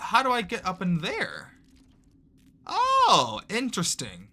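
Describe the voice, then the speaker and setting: The speaker has an American accent. Background noise is noticeable. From Texas. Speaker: gaming streamer. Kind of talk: casual livestream gameplay chat. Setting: livestream. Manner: animated.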